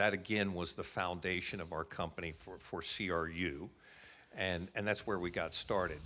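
Monotone, flat delivery with an American accent and a bright, sharp tone, at a moderate pace on a very clean recording with a silent background. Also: man, very deep, low pitch for a man. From United States. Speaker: insurance company representative. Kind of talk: interview, elevator pitch. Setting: conference venue, live recording.

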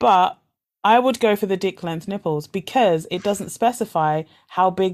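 In a very clean recording with a silent background, a woman speaks at a moderate pace with medium pitch and ordinary pitch variation. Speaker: podcast host. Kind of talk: casual chat, would-you-rather game. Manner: loud, animated.

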